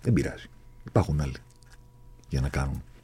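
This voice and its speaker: With vocal fry, a man speaks in a dark, mellow tone. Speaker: podcast host. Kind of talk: casual chat. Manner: animated.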